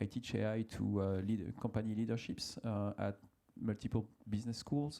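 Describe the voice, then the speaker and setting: A man speaks with a French accent at a fairly low pitch. His tone is dark and mellow. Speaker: AI consultant and business school teacher. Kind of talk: panel discussion. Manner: hesitant, many fillers.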